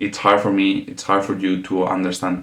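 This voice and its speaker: A man with a non-native accent speaks in a very deep, low voice. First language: not English. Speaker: podcast host. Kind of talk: solo podcast monologue. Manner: halting, with fillers.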